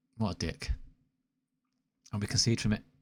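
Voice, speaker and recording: In a Mancunian accent, a man talks at a fairly quick pace with an animated tone and fairly low pitch, on a very clean recording with a silent background. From Manchester, northern England. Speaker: video game streamer. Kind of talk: live gameplay commentary.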